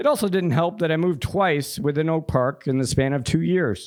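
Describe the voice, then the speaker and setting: Lively intonation and an American accent come through at a fairly quick pace. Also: man. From Chicago suburbs, Illinois. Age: 40s. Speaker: storyteller. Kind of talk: storytelling performance. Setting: stage with audience in a pub. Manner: read from paper.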